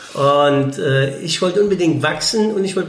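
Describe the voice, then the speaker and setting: A man speaks over noticeable background noise. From Germany, Eifel region. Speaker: former professional footballer. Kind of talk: casual interview. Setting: café.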